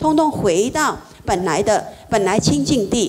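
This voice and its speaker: A woman speaks with very wide pitch swings. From Taiwan. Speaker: Buddhist practitioner; Buddhist teacher. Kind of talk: dharma talk. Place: hall.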